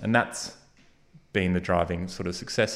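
In a very clean recording with a silent background, a man with an Australian accent speaks at a very deep, low pitch. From Australia, Geelong (Victoria). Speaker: innovation hub co-founder. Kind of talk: interview.

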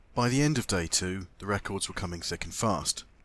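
A man's fairly low voice with a British accent at a fairly quick pace, in a very clean recording with a silent background. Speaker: motorsport podcast host. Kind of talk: scripted narration and field interviews. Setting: outdoors at a lakeside event.

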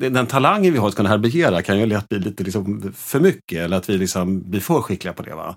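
Recorded very cleanly against a silent background, a man with a normal speaking voice talks fairly quickly at a fairly low pitch. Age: 50s. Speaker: gestalt therapist. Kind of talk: casual chat.

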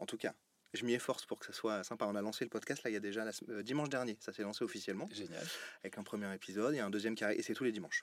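Ordinary pitch variation and a fairly low pitch mark a man's very fast talking. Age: 30s. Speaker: podcast host. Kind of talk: casual interview. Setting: TV channel studio.

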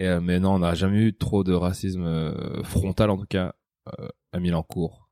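Speaking at a fairly slow pace in a flat monotone, the voice has a dark, mellow tone and a dry, close sound with no echo. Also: man, very deep, low pitch for a man. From France, Picardie. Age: 30s. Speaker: comedian. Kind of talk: interview.

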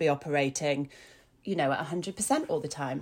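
A woman speaks with a Yorkshire accent. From Yorkshire, northern England. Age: 40s. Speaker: blogger and mental health advocate. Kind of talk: casual interview chat. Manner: halting, many fillers.

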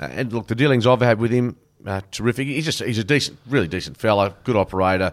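A man speaks very fast with an Australian accent, his pitch medium and ordinarily varied. The recording is very clean, with a silent background. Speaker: podcast host, footy commentator. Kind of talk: casual chat about AFL. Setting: studio. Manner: laid-back, jokey.

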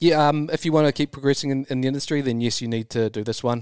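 Speaking with a New Zealand accent and fairly even intonation, the voice sits in a very clean recording with a silent background and a dry, close sound with no echo. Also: man. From New Zealand, rural. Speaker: super yacht crew member. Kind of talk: casual chat. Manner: hesitant, many ums.

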